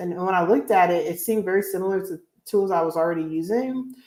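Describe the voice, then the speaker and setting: A woman's plain, everyday voice at medium pitch, fairly quick in pace with ordinary pitch variation. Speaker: blogger. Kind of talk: live Q&A stream. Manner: casual, filler-heavy.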